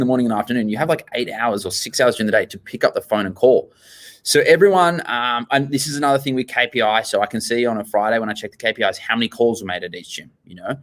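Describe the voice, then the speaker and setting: In an Australian accent, the speaker rattles along at a very fast pace with an animated tone and lively intonation. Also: man. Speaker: gym owner. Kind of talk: interview.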